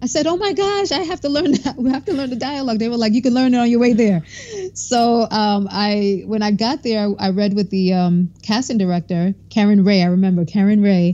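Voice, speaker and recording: A woman with an American accent and a medium pitch talks at a fairly quick pace with lively intonation. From New York, Brooklyn. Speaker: actor. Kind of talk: interview. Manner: halting.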